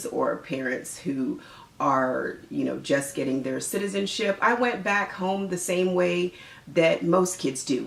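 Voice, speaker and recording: A woman at a fairly low pitch and fairly slow pace, with noticeable background noise. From United States. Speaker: mother and Caribbean parenting vlogger. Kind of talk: casual talk to camera. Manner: friendly, conversational.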